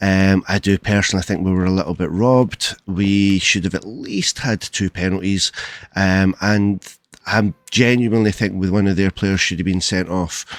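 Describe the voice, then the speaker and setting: With a Scottish accent, a man with a fairly low pitch speaks at a moderate pace in a monotone, flat way, on a very clean recording with a silent background and a dry, close sound with no echo. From Scotland. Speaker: gaming youtuber. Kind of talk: casual chat. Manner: hesitant, many fillers.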